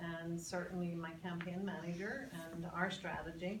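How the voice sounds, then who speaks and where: A woman with an American accent speaks at medium pitch and a fairly slow pace, with audible room echo and noticeable background noise. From Northern Ireland, Belfast. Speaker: congressional candidate. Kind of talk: Q&A at public forum. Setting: public meeting with audience. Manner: halting, many repeated words.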